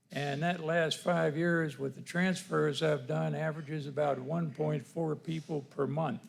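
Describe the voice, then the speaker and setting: Fairly high in pitch and somewhat breathy, a man speaks at a fairly slow pace with hardly any pauses and fairly even intonation. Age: 80s+. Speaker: retired firearms transfer dealer, applicant. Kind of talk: public comment at city planning meeting.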